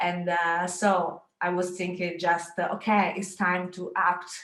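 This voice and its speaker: A woman in a Sicilian accent, medium in pitch and fairly slow in pace. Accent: Italian (Sicilian) accent in English. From Sicily, Italy. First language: Italian. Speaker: photographer, artist. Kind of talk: presentation. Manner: halting, many hesitations.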